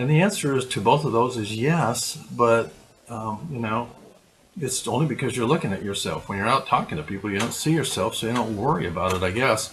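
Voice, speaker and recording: There is noticeable background noise as a man speaks at a medium pitch. He talks at a fairly quick pace with lively intonation. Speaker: video blogging coach. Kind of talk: vlog tutorial. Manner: halting, many fillers. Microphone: laptop.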